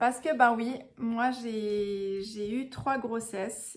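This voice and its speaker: A woman speaks at a fairly high pitch. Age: 30s. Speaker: vlogger, mother. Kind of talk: personal storytelling vlog. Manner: casual, hesitant with frequent fillers.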